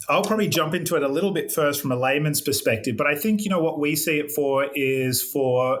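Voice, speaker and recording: Audible room echo surrounds a man speaking in an Australian accent. He goes at a fairly quick pace with ordinary pitch variation. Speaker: metal roofing company representative. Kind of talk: podcast interview.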